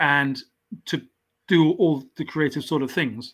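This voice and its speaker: In an English accent, a man speaks fairly slowly with a fairly high pitch and fairly even intonation. The recording is very clean, with a silent background. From southwest England, raised in South Wales. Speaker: author and justice reform advocate. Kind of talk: interview. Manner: halting.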